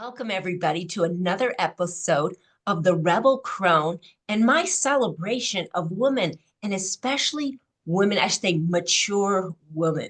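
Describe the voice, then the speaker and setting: A woman talks with lively intonation at a fairly low pitch. Her voice is somewhat breathy. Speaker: podcast host. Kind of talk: podcast intro and interview questions.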